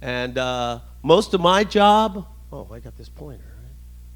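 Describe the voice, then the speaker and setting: A man talks at a fairly slow pace. He speaks with an American accent. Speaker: navy veteran and club speaker. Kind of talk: presentation. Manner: loud; casual.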